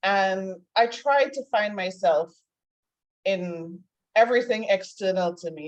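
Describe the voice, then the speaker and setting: With a Trinidadian accent, a woman speaks at a medium pitch with ordinary pitch variation. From Trinidad and Tobago. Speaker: life coach. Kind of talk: interview. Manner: casual, conversational.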